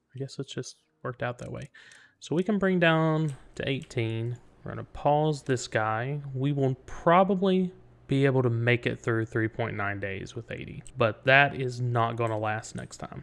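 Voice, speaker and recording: The speaker has an East Tennessee accent. The pace is moderate. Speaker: gaming video creator. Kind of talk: let's play commentary. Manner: casual, thinking aloud.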